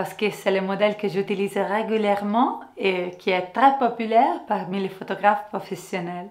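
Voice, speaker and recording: A woman with an Italian accent, fairly even intonation and a fairly slow pace, over a quiet background. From Italy. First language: Italian (speaking French). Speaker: photographer and software trainer; software trainer. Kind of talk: tutorial. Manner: friendly, smiling delivery. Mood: friendly, smiling. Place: studio.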